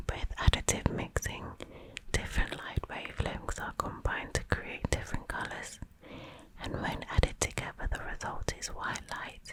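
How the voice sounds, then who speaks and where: Whispering from a woman, with big swings in loudness over noticeable background noise. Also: moderate pace. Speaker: ASMR creator. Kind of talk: ASMR bedtime book reading. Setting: close-up microphone, headphones recommended. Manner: whispered, soft-spoken.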